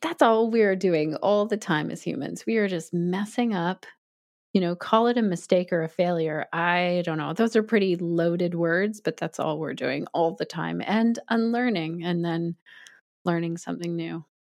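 In a Canadian accent, a woman uses an ordinary speaking voice at a fairly low pitch and moderate pace, with ordinary pitch variation against a quiet background. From Canada. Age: 40s. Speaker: yoga teacher. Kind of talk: interview conversation.

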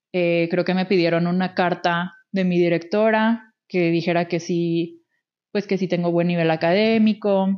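With a Mexican accent, a woman speaks at a fairly low pitch and a fairly slow pace. Her intonation is monotone and flat, and her loudness stays very even. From Mexico. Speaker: podcast co-host. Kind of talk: casual chat.

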